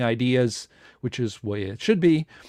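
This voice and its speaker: Against a quiet background, a man of medium pitch talks at a moderate pace with lively intonation, the sound dry and close with no echo. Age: 60s. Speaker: science organization host. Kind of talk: live online presentation. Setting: live stream from home. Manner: hesitant, many fillers.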